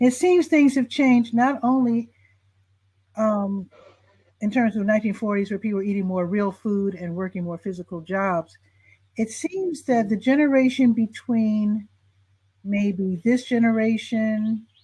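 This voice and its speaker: Somewhat breathy and dark, mellow in tone, a woman speaks at a fairly high pitch and fairly slow pace with ordinary pitch variation in an American accent. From Chicago, US Midwest. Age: 60s. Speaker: talk show host. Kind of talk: interview.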